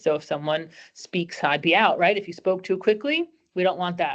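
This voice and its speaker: This woman has a fairly low pitch and a New Jersey accent. Her pace is fairly quick. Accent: New Jersey American. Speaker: employment lawyer. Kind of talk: webinar presentation. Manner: fast.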